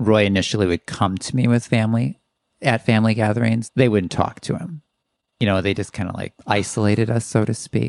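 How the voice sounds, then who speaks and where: A man with an unremarkable speaking voice and a fairly low pitch shows ordinary pitch variation, the sound dry and close with no echo against a quiet background. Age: 50s. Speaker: guest sharing story. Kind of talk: casual interview chat.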